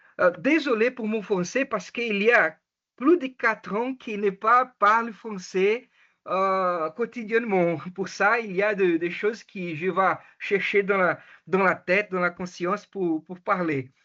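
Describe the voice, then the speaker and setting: The speech comes at a very slow pace with a Portuguese accent. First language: Portuguese (speaking French). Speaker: education researcher. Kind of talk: academic presentation. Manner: halting, many hesitations and self-corrections.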